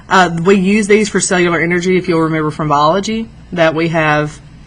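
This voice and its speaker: A woman with a fairly low pitch talks at a fairly quick pace with fairly even intonation, amid audible room echo and noticeable background noise. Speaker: high school biology teacher. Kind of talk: lecture. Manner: fast.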